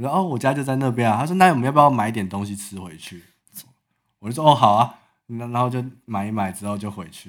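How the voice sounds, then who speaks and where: Here a man with a medium pitch speaks very fast with lively intonation. His loudness swings a lot. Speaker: podcast host. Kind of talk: casual chat. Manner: animated.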